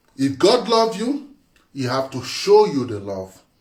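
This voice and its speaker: A man talks fairly slowly, and audible room echo follows his voice. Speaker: spiritual teacher. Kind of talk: monologue talk. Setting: live video. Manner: animated.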